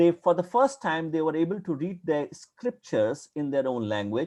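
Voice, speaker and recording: A man with a strong Indian accent talks at a moderate pace in a fairly high voice. His tone is dark and mellow, and his pitch swings very widely. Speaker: academic historian lecturer. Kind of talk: lecture.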